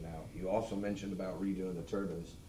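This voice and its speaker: With an American accent, a man with a very deep, low pitch and a dark, mellow tone talks at a very fast pace with ordinary pitch variation, with audible room echo. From Missouri, Lafayette County. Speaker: member of the public. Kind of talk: public comment at meeting. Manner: loud.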